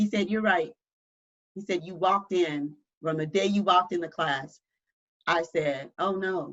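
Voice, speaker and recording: A Southern US accent with ordinary pitch variation and long, frequent pauses. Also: woman, fairly low pitch for a woman. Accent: southern drawl. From US South. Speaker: church member sharing personal story. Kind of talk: testimony. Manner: halting.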